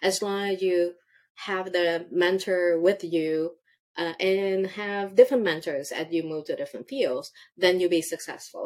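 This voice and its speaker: A woman at a medium pitch with a non-native accent, fairly slow pace and ordinary pitch variation. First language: not English. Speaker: tech executive. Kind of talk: interview answers, conversational. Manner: halting, with fillers.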